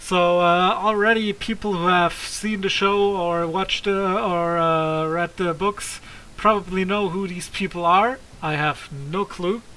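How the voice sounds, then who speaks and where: A fairly slow delivery over noticeable background noise. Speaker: gaming streamer. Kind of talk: let's play commentary. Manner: loud.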